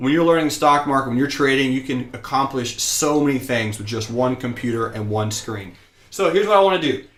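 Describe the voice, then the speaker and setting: At a fairly quick pace, a man with an American accent speaks at medium pitch with ordinary pitch variation. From US South (rural Georgia). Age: 20s. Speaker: stock trading teacher. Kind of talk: live-streamed lecture. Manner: energetic, excited.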